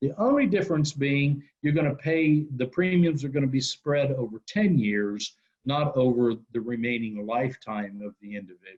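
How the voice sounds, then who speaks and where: A man speaks at a fairly high pitch with hardly any pauses. He has an unremarkable speaking voice. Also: lively intonation, moderate pace. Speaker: insurance company representative. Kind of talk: webinar presentation. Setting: webinar.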